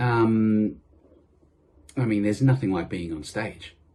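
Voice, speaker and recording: The voice belongs to a man. He talks with an Australian accent. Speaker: tribute artist. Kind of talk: interview. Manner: hesitant, many fillers.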